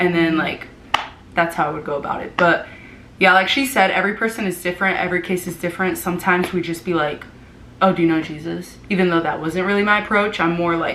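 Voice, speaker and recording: In a room with audible echo, a woman with an American accent talks very fast at a fairly low pitch with fairly even intonation. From Florida, US. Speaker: vlogger and former missionary. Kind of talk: casual chat.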